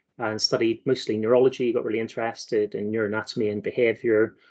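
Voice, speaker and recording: A man with a Belfast accent, medium in pitch, with fairly even intonation. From Northern Ireland, Belfast. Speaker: marine scientist. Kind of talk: careers talk presentation.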